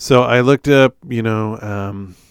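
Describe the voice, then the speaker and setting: In an ordinary speaking voice, a man talks at a fairly slow pace, fairly low in pitch, with fairly even intonation. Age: 40s. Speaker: podcast host, software engineer. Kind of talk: solo monologue podcast. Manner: casual, conversational with many fillers.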